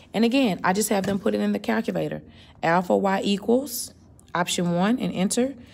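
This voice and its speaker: A woman talks at a fairly quick pace with a medium pitch, ordinary pitch variation and some vocal fry. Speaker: math teacher. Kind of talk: tutorial.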